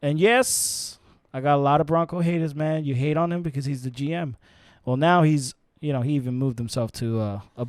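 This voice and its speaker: An animated, fairly high-pitched man with a New York accent, fairly quick pace and ordinary pitch variation, on a very clean recording with a silent background. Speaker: sports podcast host. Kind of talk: casual chat. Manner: halting, many fillers and repeats.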